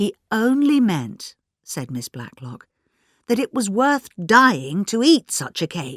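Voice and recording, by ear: Over a quiet background, the text is read aloud in a natural voice.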